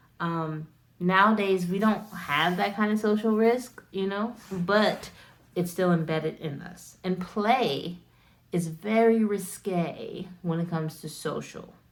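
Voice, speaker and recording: Speaking at a very slow pace, a woman with an American accent uses a medium pitch. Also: ordinary pitch variation. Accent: American accent, self-remarked. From United States. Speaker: wellness content creator. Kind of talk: casual educational talk to camera. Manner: casual, filler-heavy.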